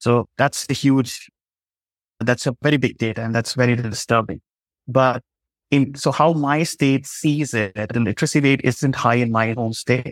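The pace sits at a moderate level. An Indian accent comes through. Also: man, medium pitch for a man, fairly even intonation. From Jharkhand, India. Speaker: law lecturer and human rights advocate. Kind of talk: interview.

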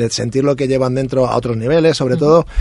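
A man speaks at a medium pitch, with ordinary pitch variation. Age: 40s. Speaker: musician with a regular music segment. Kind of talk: casual chat. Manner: halting, with many repetitions.

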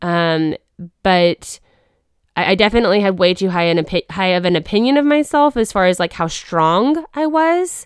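A woman with a Midwestern accent speaks at a medium pitch and a moderate pace, with very wide pitch swings. Her loudness is very even, and the sound is dry and close with no echo. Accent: General American (Midwest). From Wichita, Kansas. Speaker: podcast co-host. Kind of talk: testimony. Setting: studio.

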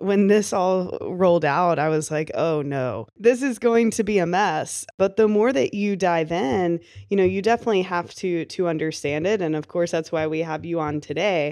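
An ordinary speaking voice from a woman, fairly low in pitch, with ordinary pitch variation, a moderate pace and hardly any pauses. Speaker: podcast host. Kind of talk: podcast interview.

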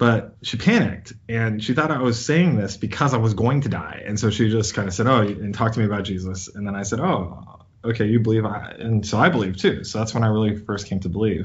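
Speaking at a fairly quick pace with hardly any pauses, a man has an unremarkable speaking voice, fairly low in pitch with ordinary pitch variation. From US, child of Indian immigrants. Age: 40s. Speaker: scientist and physician. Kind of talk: interview.

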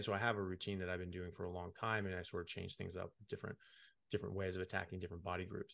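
Against a quiet background, a man with an American accent speaks in a very deep, low voice with a bright, sharp tone. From United States. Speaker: medical doctor. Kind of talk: interview.

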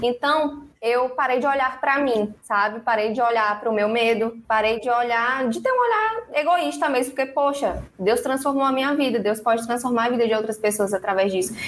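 A high-pitched woman speaks at a moderate pace with hardly any pauses, very even loudness and ordinary pitch variation, over noticeable background noise. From São Luís, Maranhão, Brazil. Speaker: financial educator. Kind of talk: interview. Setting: live stream / video call.

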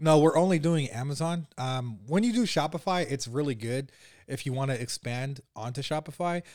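A man with a plain, everyday voice speaks at a fairly high pitch and moderate pace. His pitch variation is ordinary, and the recording is very clean with a silent background. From US West Coast, San Francisco Bay Area. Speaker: e-commerce entrepreneur. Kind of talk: podcast interview.

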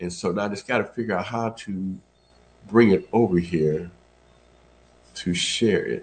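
At a moderate pace with long, frequent pauses, a man with a fairly low pitch speaks with ordinary pitch variation. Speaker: church elder, devotional teacher. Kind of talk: devotional teaching, casual chat.

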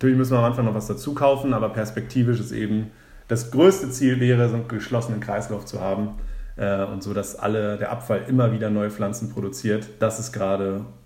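A man's fairly low voice at a fairly quick pace, fairly even in intonation, with audible room echo. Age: 20s. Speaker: founder of a drinks start-up. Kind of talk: podcast interview. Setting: in person, sitting opposite the host.

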